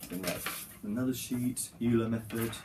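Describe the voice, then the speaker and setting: There is noticeable background noise and audible room echo as a man talks at a moderate pace with fairly even intonation. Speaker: vlogger, university student. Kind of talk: casual vlog talk.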